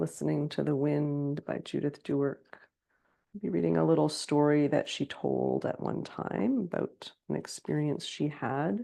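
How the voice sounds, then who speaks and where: Delivery is fairly slow. The voice is soft-spoken. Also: woman. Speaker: meditation teacher. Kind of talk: guided meditation.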